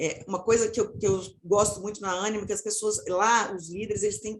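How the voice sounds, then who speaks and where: Intonation here stays fairly level. The voice is a plain, everyday voice. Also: woman. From Minas Gerais, Brazil. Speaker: marketing professional turned people/diversity specialist. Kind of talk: panel discussion closing remarks.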